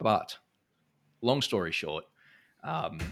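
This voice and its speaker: A man's bright, sharp voice with an Australian accent at a moderate pace, on a very clean recording with a silent background. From Brisbane, Australia. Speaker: entrepreneur and CEO. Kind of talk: interview conversation.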